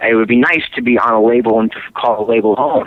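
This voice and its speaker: Male speech at a fairly quick pace amid noticeable background noise. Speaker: rock singer and guitarist. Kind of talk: interview. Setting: phone call.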